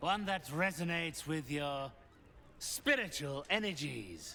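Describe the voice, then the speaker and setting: Amid clear background noise, a man puts on a character voice at a fairly high pitch and a fairly slow pace. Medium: video game. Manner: cold, measured, imperious.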